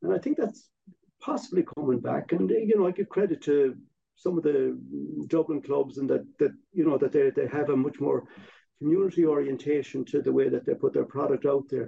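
This man has a western Irish accent and talks at a fairly quick pace. His loudness stays very even. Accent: Irish (west of Ireland). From Ireland, Galway. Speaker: former football club chairman. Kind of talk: casual chat.

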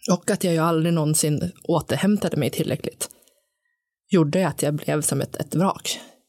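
Speaking at a fairly slow pace, a woman uses a fairly low pitch and fairly even intonation. The sound is dry and close with no echo. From Sundsvall, northern Sweden. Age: 40s. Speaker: recovering alcoholic, new co-host. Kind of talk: casual conversation, personal testimony. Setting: studio.

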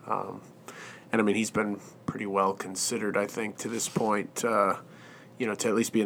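A man speaks in a monotone, flat intonation at a fairly low pitch. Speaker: podcast co-host and interviewer. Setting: studio.

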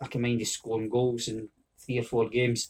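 A somewhat breathy man's voice at medium pitch, in a Scottish accent. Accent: Scottish (Fife). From Scotland, Fife (Oakley). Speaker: football coach. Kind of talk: interview.

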